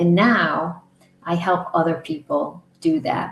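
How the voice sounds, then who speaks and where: A woman speaks in a plain, everyday voice, fairly low in pitch with ordinary pitch variation. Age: 60s. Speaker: author and coach. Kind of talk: personal testimony interview.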